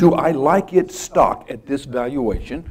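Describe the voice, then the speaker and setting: A man speaks with a dark, mellow tone. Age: 60s. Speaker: financial newsletter writer and conference speaker. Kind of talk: conference presentation.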